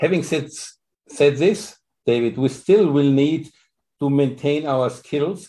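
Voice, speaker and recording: A man with a fairly high pitch and a German accent, speaking at a fairly slow pace against a quiet background. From Austria. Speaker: dermatology professor. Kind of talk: interview.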